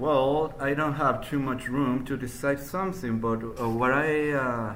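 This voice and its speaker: A man speaking at a fairly slow pace with ordinary pitch variation, in audible room echo. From northern Mexico, Durango. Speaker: university student. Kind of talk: spoken language test. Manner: halting, many fillers.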